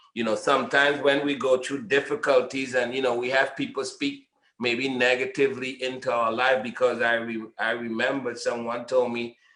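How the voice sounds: A man at medium pitch, fairly bright in tone, at a moderate pace amid audible room echo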